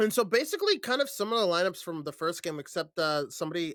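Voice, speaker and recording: A man's high, bright and sharp voice with lively intonation at a very fast pace, on a very clean recording with a silent background. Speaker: esports caster. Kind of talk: live commentary.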